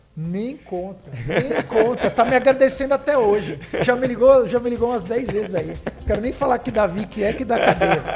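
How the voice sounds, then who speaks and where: Here a man speaks at an extremely high pitch in an animated tone, with ordinary pitch variation. His pauses are long and frequent, and background noise is noticeable. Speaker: podcast host. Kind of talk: sponsor reads in casual chat.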